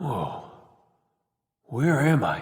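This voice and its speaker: Doing a raspy put-on character voice, a man speaks at a fairly high pitch with audible echo. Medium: video game. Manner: defiant, sarcastic.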